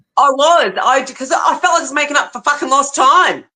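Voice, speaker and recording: A woman speaks in a raised, projected voice with a bright, sharp tone. Her pitch sits high. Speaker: podcast host. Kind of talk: casual chat. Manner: fast.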